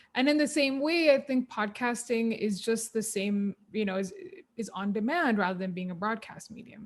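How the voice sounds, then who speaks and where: A woman with a Keralan accent has a somewhat breathy, fairly high voice. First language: Malayalam. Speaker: podcaster and former radio presenter. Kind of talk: interview conversation. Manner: casual, filler-heavy.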